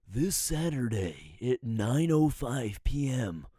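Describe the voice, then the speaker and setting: Using a put-on character voice, a man talks at a very slow pace and medium pitch, his pitch swinging very widely. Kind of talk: announcer-like, polished.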